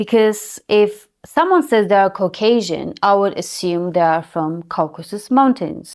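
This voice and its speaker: Lively intonation from a woman at medium pitch, fairly slow pace, hardly any pauses, on a very clean recording with a silent background. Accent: Armenian. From Armenia. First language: Armenian. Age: adult. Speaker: YouTuber. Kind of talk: personal vlog monologue.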